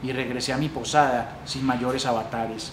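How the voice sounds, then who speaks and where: Noticeable background noise sits behind this recording. A man speaks over it at a medium pitch and a moderate pace. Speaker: library staff reader. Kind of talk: literary story reading.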